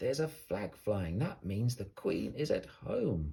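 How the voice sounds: A man's slow, put-on character voice, fairly low in pitch, dark and mellow in tone, with vocal fry, big pitch swings and audible room echo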